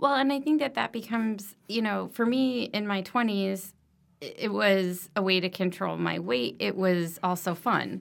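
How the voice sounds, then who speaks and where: Lively intonation marks an unremarkable speaking voice at a moderate pace. The background is silent and the recording very clean. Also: woman, medium pitch for a woman. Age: 40s. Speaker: medical device professional. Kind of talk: casual interview.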